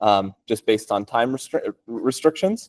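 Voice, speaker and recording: Recorded with a dry, close sound and no echo, a man speaks in an American accent. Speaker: computer science researcher. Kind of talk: technical talk. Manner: casual, with many fillers.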